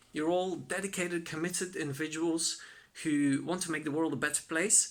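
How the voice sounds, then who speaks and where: Someone with a Flemish accent speaks at a fairly quick pace on a very clean recording with a silent background. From Belgium (Flanders). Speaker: content creator and freelance developer. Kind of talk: recorded advice talk to workshop participants.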